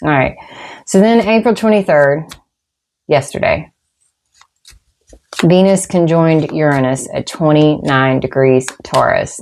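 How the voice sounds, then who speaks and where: A woman with a Southern US accent, a very deep, low pitch and lively intonation, at a fairly slow pace with long, frequent pauses. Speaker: tarot reader. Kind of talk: tarot and astrology reading. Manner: casual, with many fillers.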